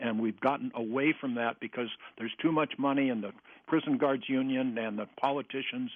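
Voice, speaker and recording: Using an unremarkable speaking voice at a medium pitch, this man keeps fairly even intonation while talking at a fairly quick pace. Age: 60s. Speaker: trial judge. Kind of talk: radio interview.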